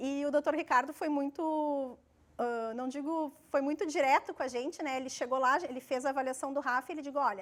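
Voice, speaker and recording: A woman's high voice with fairly even intonation at a fairly quick pace. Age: 40s. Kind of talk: interview testimony.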